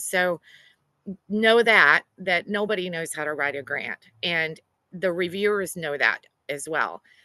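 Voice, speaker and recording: A woman with a Southern US accent speaks at a moderate pace in a bright, sharp tone, the sound dry and close with no echo. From US South. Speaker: grant writer. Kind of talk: workshop presentation.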